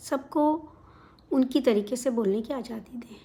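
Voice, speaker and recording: A woman speaks with a Punjabi accent in a dark, mellow tone with ordinary pitch variation. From India, outside Punjab. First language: Punjabi (speaking Hindi). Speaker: vlogger. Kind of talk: casual talk to camera. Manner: hesitant fillers.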